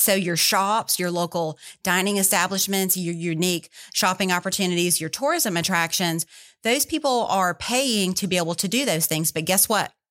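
A woman with a Southern US accent at a moderate pace, ordinary pitch variation, very clean recording and silent background. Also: medium pitch for a woman. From Louisiana. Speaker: tourism executive. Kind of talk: interview. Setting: studio.

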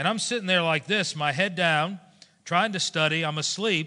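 In an American accent, a man with a high pitch and a bright, sharp tone sounds animated, his pitch varying in an ordinary way over a quiet background. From South Florida. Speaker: pastor. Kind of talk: sermon. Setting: church.

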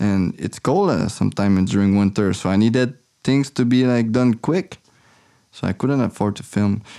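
A man with a French Canadian accent speaks at a medium pitch in a dark, mellow tone. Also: ordinary pitch variation, moderate pace. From Quebec City, Canada. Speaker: filmmaker living off the grid. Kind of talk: interview. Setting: remote call. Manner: halting.

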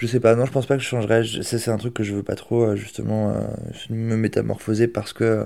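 A man's medium-pitched voice, dark and mellow, with fairly even intonation and long, frequent pauses. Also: very clean recording, silent background. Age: 20s. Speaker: aspiring entrepreneur, video director. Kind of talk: interview testimony. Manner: casual.

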